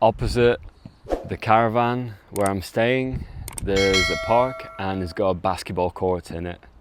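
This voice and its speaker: A man talks at a fairly slow pace in a fairly low pitch with ordinary variation. Noticeable background noise can be heard. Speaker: travel vlogger. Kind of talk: travel vlog narration. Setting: outdoors. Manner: shaky, almost stuttering.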